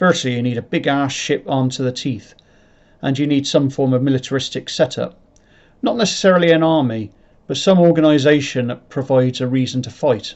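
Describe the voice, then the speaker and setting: Someone talks at a fairly quick pace in a rural English accent. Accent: rural English, sounds like a farmer. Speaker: sci-fi writer and channel creator. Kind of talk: explanatory talk to camera. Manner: halting, self-correcting; unpolished presenting style.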